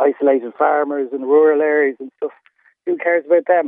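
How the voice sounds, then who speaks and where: A man with an Irish accent, fairly high in pitch, at a fairly quick pace. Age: 50s. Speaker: caller. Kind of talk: phone-in call. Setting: phone call. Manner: halting.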